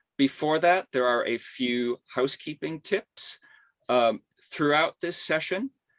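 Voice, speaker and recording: Fairly slow speech from a man with a fairly high pitch and a plain, everyday voice, in a dry, close sound with no echo. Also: ordinary pitch variation. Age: 60s. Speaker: symposium host. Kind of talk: webinar introduction. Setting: video call.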